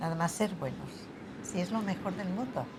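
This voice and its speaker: The intonation is lively. Audible room echo and noticeable background noise fill the recording. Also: woman. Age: 90s. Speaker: elderly interviewee. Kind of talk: testimony.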